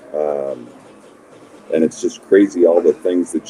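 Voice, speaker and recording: Recorded with a dry, close sound and no echo, a man talks at a fairly slow pace. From Montana, US. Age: 60s. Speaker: former basketball player and coach. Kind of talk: podcast interview.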